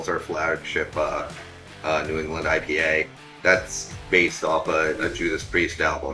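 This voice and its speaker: Clear background music behind a man speaking at a moderate pace. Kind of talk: interview answer. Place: bar.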